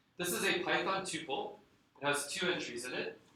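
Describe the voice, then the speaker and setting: A man is speaking. His intonation is lively. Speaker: lecturer. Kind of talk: lecture. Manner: fast.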